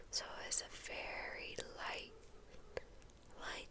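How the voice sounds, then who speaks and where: Noticeable background noise sits behind someone whispering. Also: woman. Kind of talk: ASMR skincare routine. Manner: whispered; soft-spoken.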